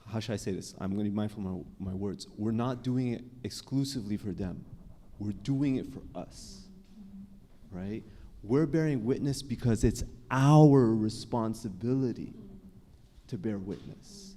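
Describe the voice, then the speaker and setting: Here a man talks at a moderate pace with long, frequent pauses. His medium-pitched voice has a dark, mellow tone and ordinary pitch variation. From Canada. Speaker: psychologist and author. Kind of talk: panel discussion. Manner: casual, with frequent self-corrections.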